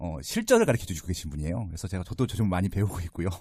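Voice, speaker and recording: A man talks in a dark, mellow tone. The recording is very clean, with a silent background. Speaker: real estate podcast host. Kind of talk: interview podcast. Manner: conversational, with fillers.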